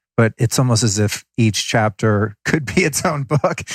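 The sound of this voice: With a slightly husky edge and lively intonation, a man speaks at medium pitch and a moderate pace in a dry, close sound with no echo.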